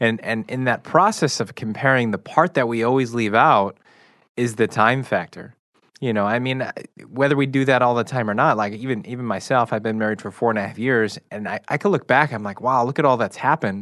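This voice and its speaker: A man with an American accent and a normal speaking voice talks at a fairly quick pace. His pitch is medium with ordinary variation, over a quiet background. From Chicago, US Midwest. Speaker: radio show guest co-host. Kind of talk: casual chat.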